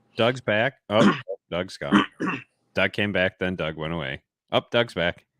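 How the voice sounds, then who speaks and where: Very deep, low male voice with ordinary pitch variation, a fairly slow pace, and a dry, close sound with no echo. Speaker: online meeting host. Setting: online video meeting.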